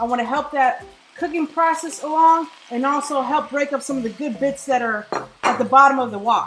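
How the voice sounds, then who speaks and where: Speaking at a fairly quick pace, a woman with a high pitch shows ordinary pitch variation amid noticeable background noise. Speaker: cooking vlogger. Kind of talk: cooking tutorial. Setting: home kitchen. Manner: animated.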